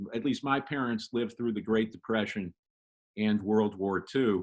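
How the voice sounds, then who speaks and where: A man speaks at a fairly slow pace over a quiet background. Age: 60s. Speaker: magazine writer and author. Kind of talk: casual interview chat. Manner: halting, repeats words.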